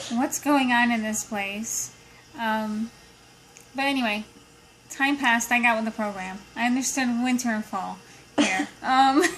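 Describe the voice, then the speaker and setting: A woman's fairly high voice with ordinary pitch variation at a fairly slow pace, broken by long, frequent pauses over noticeable background noise. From Brazil, moved to US at age nine. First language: Portuguese. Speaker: accountant interviewed by niece. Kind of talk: casual interview.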